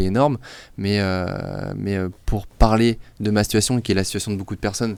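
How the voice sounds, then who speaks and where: This man's pitch sits fairly low, and he talks at a fairly quick pace. The recording is very clean, with a silent background. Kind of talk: discussion show. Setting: studio. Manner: fast.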